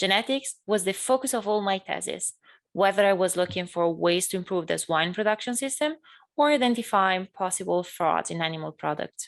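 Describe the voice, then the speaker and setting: The speaker talks fairly quickly in an Italian accent, with lively intonation. The background is quiet. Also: woman, medium pitch for a woman. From northern Italy, near Bologna. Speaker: graduate student. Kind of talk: keynote speech. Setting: virtual event.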